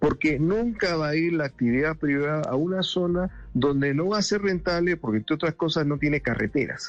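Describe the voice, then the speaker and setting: Music plays in the background. The speaker uses lively intonation at a moderate pace. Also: man. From Peru, Lima. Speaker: government planning director and economics professor. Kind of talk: radio interview.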